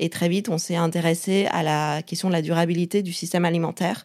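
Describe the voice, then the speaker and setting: Over a silent background in a very clean recording, a woman speaks at a moderate pace with a fairly low pitch and monotone, flat intonation. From China. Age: 30s. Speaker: startup co-founder. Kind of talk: interview. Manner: halting.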